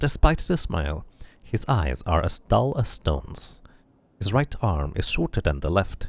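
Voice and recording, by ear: The speaker is reading aloud. It is in a natural voice.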